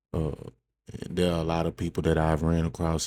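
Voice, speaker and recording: The speaker is soft-spoken. The tone is dark and mellow. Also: man. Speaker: podcast host. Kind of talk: personal monologue. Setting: indoors in a room at home. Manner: halting.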